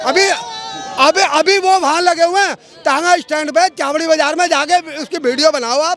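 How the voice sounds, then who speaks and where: Amid noticeable background noise, a man speaks at an extremely high pitch. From India, Delhi. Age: 70s. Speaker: member of the public. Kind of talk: street interview. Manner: animated.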